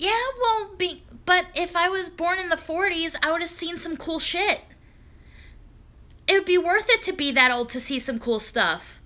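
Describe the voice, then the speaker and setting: With an American accent, a woman speaks in a raised, projected voice at an extremely high pitch. Her tone is bright and sharp, and her intonation is lively. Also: moderate pace. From New York, Long Island. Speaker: live streamer. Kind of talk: casual chat. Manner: animated.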